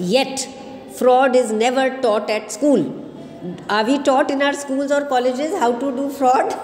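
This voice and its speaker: Noticeable background noise sits under fairly slow speech that has ordinary pitch variation. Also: woman, high pitch for a woman. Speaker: college English teacher. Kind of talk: lecture. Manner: explanatory, asks students questions.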